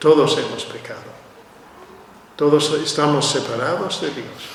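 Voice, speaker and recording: The speech moves at a fairly slow pace, with audible room echo and noticeable background noise. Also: man. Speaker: preacher. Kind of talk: sermon. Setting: church.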